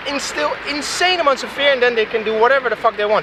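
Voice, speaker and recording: A man talks at a very fast pace in a raised, projected voice with ordinary pitch variation, amid noticeable background noise. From Netherlands, Leiden. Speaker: citizen journalist, biochemist. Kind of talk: spontaneous interview. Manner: halting, many repetitions and fillers.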